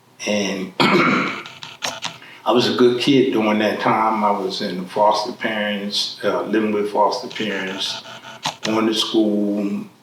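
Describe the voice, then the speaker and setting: A man speaks at a very slow pace in a monotone, flat intonation. The room has audible echo, and there is noticeable background noise. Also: fairly low pitch for a man. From Philadelphia, US. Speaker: formerly incarcerated man. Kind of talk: life story interview.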